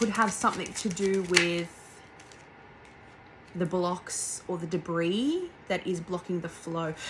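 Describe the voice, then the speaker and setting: A woman talks very slowly at a medium pitch, with ordinary pitch variation. Noticeable background noise runs underneath. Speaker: tarot reader. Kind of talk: channeled tarot reading. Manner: soft-spoken; halting.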